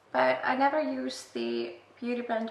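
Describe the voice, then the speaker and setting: A woman with an Icelandic accent speaks at a fairly slow pace. Noticeable background noise and audible room echo are present. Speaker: beauty vlogger. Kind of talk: makeup tutorial. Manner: casual, self-deprecating.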